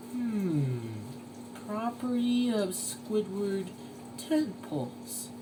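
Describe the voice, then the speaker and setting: Over loud background noise, a man puts on a high-pitched character voice, talking very slowly with long, frequent pauses. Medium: read story. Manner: slow, simple.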